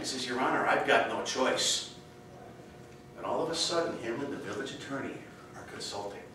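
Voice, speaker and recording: A man talks at a fairly quick pace with long, frequent pauses, ordinary pitch variation, audible room echo and noticeable background noise. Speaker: contest speaker. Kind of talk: humorous speech. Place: hall. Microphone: camera far.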